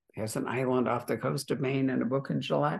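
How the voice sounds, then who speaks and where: A woman speaks at a moderate pace in a very deep, low voice with vocal fry and fairly even intonation. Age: 80s+. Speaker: bookstore owner hosting author talks. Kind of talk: interview.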